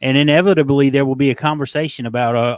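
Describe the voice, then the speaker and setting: In a Southern US accent, a man talks fairly quickly at a medium pitch in a dry, close sound with no echo. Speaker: fantasy football analyst. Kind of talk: casual chat.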